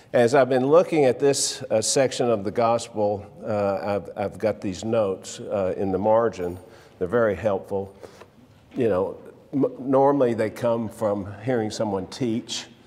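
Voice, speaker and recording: An unremarkable speaking voice, a man's fairly low pitch moves at a fairly slow pace with ordinary variation. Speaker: Sunday school teacher. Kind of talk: lecture. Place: church.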